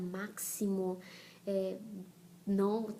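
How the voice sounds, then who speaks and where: A woman talks in a Brazilian accent. Her intonation stays monotone and flat. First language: Portuguese (speaking Spanish). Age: 30s. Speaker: missionary and blogger. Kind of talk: personal testimony vlog.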